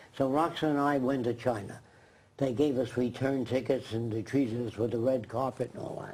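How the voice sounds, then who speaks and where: Noticeable background noise sits behind a man with a medium pitch. He keeps a fairly quick pace and fairly even intonation. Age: 90s. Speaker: futurist designer. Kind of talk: live TV interview.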